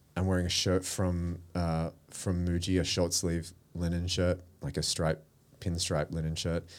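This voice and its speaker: With an Australian accent, a man talks fairly slowly in a very deep, low, monotone voice. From Australia, Melbourne. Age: 40s. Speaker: creative director and publisher. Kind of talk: casual interview. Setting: studio.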